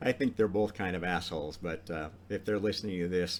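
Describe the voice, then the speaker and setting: In an American accent, a man speaks with a very deep, low pitch and ordinary pitch variation. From US, Idaho. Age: 60s. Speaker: podcast host. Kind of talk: monologue talk. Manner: casual, with many fillers.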